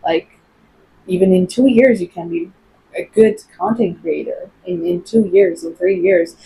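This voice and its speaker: A woman with a medium-pitched, somewhat breathy voice and a dark, mellow tone speaks at a moderate pace with fairly even intonation. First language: not English (English is fourth language). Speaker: English teacher and content creator. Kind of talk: casual vlog talk to camera. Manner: hesitant, with fillers.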